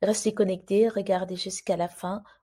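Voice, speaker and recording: Soft-spoken and somewhat breathy, a woman with a dark, mellow tone speaks at medium pitch and a fairly slow pace. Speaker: YouTuber explaining immigration news. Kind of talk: informational video commentary.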